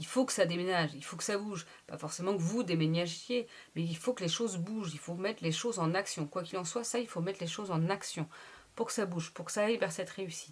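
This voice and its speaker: A woman of medium pitch talks at a very fast pace. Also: ordinary pitch variation. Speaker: tarot reader. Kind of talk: tarot reading monologue. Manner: animated.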